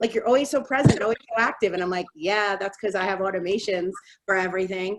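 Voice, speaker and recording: A woman speaks at a very fast pace. Her pitch varies in an ordinary way. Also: medium pitch for a woman. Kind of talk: webinar presentation. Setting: video call.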